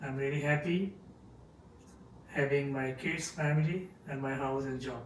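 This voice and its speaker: With a Bengali accent, the speaker talks at a moderate pace and fairly even intonation, with audible room echo and noticeable background noise. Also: man, fairly high pitch for a man. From Bangladesh, Dhaka. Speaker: chemist, podcast guest. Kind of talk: interview. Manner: hesitant.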